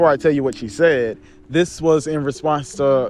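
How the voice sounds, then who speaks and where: Music playing behind a male speaker at a moderate speed. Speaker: commentary youtuber. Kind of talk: casual commentary monologue. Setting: outdoors in a park. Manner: unscripted, off the cuff, some stuttering.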